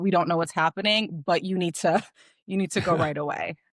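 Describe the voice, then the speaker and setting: Speaking very fast with a Chicago accent, a woman with a fairly low pitch comes through in a dry, close sound with no echo. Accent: Chicago, Midwestern US. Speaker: optometrist. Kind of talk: interview answer.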